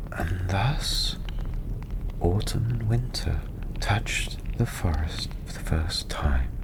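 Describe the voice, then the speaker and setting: Over noticeable background noise, a soft-spoken man talks at a very slow pace. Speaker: tavern storyteller, ASMR performer. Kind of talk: fairy-tale story narration. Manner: softly spoken.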